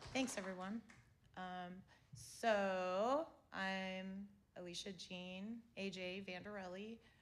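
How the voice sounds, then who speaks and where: A woman with an American accent speaks at a very slow pace, leaving long, frequent pauses. Her pitch is medium with ordinary variation, and the room echoes audibly. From US South, Florida Panhandle (Panama City). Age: 40s. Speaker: visual artist and gallery curator. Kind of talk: artist talk. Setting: theater with small audience.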